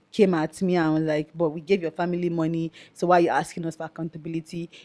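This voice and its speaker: A fairly low-pitched woman's voice, dry and close with no echo, on a very clean recording with a silent background. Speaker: activist. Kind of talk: interview.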